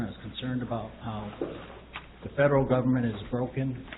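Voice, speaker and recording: Audible room echo and noticeable background noise surround the voice. A man speaks at medium pitch with fairly even intonation. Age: 60s. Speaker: citizen speaking at public comment. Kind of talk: public comment. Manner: halting.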